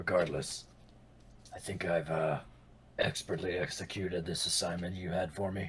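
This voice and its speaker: A man's put-on character voice, very deep, low and raspy, with monotone, flat intonation, a moderate pace and long, frequent pauses. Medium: actual play. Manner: cocky, casual.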